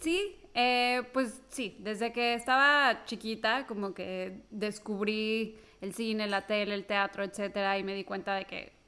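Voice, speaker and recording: In a Mexico City accent, a woman talks at a very slow pace with a fairly high pitch and fairly even intonation. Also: hardly any pauses. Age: 30s. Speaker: television screenwriter. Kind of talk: podcast interview.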